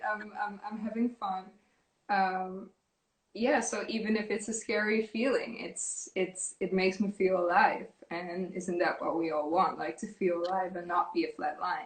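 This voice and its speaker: A woman talks in a medium pitch at a moderate pace. Her pitch varies in an ordinary way. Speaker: fashion model. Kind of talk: podcast interview. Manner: hesitant, repeats words.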